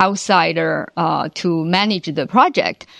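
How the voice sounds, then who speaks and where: Ordinary in pitch variation, a woman speaks with a Chinese accent. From China. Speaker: engineering executive. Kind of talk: interview. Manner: halting, many fillers.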